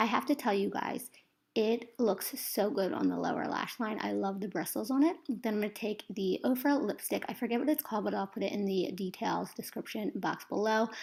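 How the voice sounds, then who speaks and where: A woman speaks at a fairly high pitch with ordinary pitch variation. Her pace is fairly quick, with hardly any pauses. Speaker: beauty vlogger. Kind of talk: tutorial. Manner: fast.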